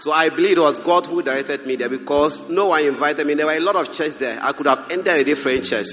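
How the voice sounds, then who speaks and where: Music plays in the background. A man speaks over it with a Ghanaian accent and a fairly high pitch. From Ghana, Upper East Region. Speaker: Bible school student. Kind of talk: testimony. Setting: stage with audience.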